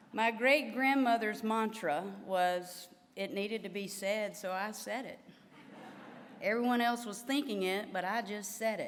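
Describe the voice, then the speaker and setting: With a Southern US accent, a woman talks at a fairly slow pace in a fairly high pitch with ordinary pitch variation, over music in the background and audible room echo. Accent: Southern drawl. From US South, Louisiana. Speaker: physical therapy association president, professor. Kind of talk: formal address to delegates. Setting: stage with audience.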